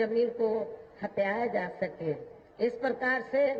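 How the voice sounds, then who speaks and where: Noticeable background noise runs through the clip. A woman speaks at a fairly high pitch. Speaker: politician, national president of a political party, former chief minister. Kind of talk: political rally speech. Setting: outdoor public rally, large crowd.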